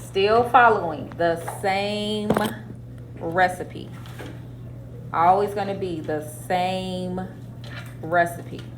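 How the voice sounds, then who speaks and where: A woman speaks at a very slow pace, with long, frequent pauses. Audible room echo and noticeable background noise surround her. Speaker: math teacher. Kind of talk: classroom lecture. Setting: classroom with students.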